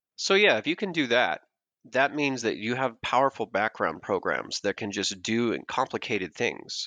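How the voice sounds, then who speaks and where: Over a quiet background, a man talks at a moderate pace with a bright, sharp tone, and the sound is dry and close with no echo. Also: medium pitch for a man, lively intonation. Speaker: podcast guest discussing hypnosis. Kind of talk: casual podcast interview. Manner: rhythmic, lulling cadence; occasionally raises voice to break the pattern.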